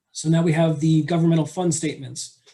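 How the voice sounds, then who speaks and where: A man's dark, mellow, somewhat breathy voice at a very fast pace. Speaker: auditor presenting financial statements. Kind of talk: board meeting presentation.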